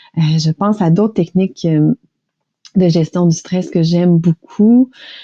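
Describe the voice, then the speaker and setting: A woman with a Quebec accent speaks in a fairly low, dark and mellow voice. Her pitch varies in an ordinary way, and the sound is dry and close with no echo. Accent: Québécois French. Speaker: stress management coach and author. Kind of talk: interview conversation.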